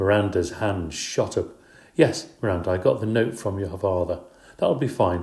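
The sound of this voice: The intonation is fairly even. It comes from an unforced reading voice.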